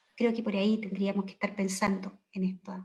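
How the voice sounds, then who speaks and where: A woman talks at a medium pitch. Her voice is somewhat breathy. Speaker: education professor. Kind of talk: panel discussion.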